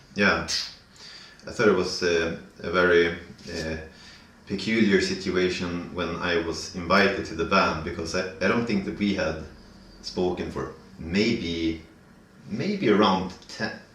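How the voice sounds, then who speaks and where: In a northern Swedish accent, a man with a very deep, low pitch talks at a fairly slow pace with fairly even intonation and long, frequent pauses, and the room echo is audible. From northern Sweden. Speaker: band vocalist. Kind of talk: casual interview chat. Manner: halting, many fillers.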